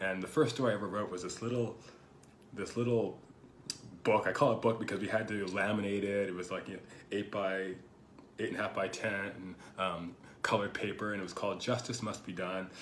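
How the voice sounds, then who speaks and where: Against audible room echo, a man with a fairly low pitch speaks at a fairly quick pace in fairly even intonation, broken by long, frequent pauses. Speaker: writer and video host. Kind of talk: casual monologue. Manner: hesitant, many fillers.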